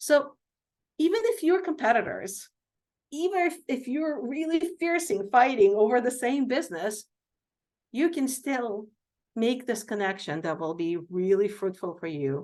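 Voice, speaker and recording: A woman with a non-native accent speaks at a moderate pace in a high voice with very wide pitch swings over a quiet background. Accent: foreign accent, milder than before. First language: not English. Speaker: healthcare executive and physician. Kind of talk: Q&A talk.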